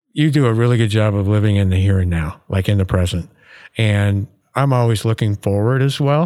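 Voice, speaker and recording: A normal speaking voice, very even in loudness with ordinary pitch variation, moves at a fairly quick pace in a very clean recording with a silent background. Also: man, fairly low pitch for a man. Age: 60s. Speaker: podcast host and dentist.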